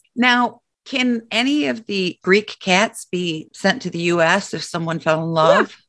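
Speaking at a fairly slow pace, a woman has a medium pitch, lively intonation and an unremarkable speaking voice. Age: 50s. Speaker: podcast co-host. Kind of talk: casual chat.

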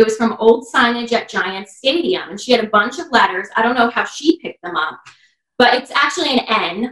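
A woman's fairly high, bright, sharp voice in a New Jersey accent, fairly quick, with lively intonation and big swings in loudness. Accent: New Jersey American. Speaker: dog walker and pet portrait artist. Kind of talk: casual chat.

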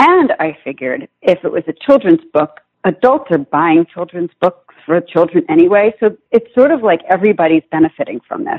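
Using very wide pitch swings, a woman with an East Coast US accent talks at a moderate pace and medium pitch. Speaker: children's author. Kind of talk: interview.

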